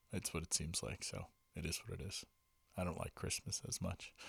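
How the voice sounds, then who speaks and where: A somewhat breathy man with a very deep, low pitch, a fairly quick pace and a dry, close sound with no echo. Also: long, frequent pauses. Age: 40s. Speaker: solo podcast host. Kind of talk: casual solo monologue. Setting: home recording with vintage microphone. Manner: frequent fillers and hesitations.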